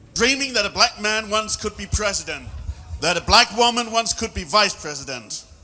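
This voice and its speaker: The voice is raised and projected, with big swings in loudness and ordinary pitch variation. It moves at a moderate pace over noticeable background noise. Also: man, high pitch for a man. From Germany. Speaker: public speaker. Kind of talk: speech.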